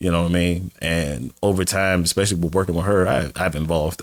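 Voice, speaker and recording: A man speaks at a moderate pace with an American accent. The recording is very clean, with a silent background. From Washington DC area. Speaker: stand-up comedian. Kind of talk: casual interview chat. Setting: podcast studio. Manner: animated.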